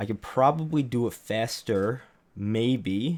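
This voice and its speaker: A man at a medium pitch, with ordinary pitch variation, comes across on a very clean recording against a silent background. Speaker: YouTuber recording video commentary. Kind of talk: live-streamed commentary rehearsal. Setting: live stream. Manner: halting, restarting phrases.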